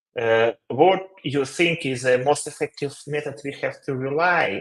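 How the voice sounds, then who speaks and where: A man with a Ukrainian accent, fairly slow pace and lively intonation. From Ukraine. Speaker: company CEO, webinar co-host. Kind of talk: webinar Q&A. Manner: halting, many fillers.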